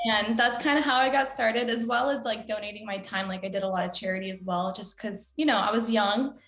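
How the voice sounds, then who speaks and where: Against noticeable background noise, a woman with a fairly high pitch talks at a very fast pace with hardly any pauses. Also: ordinary pitch variation. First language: Spanish. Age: 20s. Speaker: singer-songwriter. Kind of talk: interview. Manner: casual, filler-heavy.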